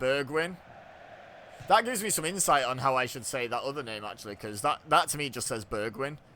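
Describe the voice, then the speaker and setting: A man at medium pitch talks at a fairly quick pace with lively intonation. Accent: English. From England. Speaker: gaming youtuber. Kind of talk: live commentary. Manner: casual, chatty.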